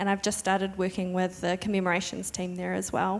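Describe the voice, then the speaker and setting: The speaker is a woman with a New Zealand accent. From Wairarapa, New Zealand. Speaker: postgraduate student and heritage researcher. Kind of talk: panel introduction.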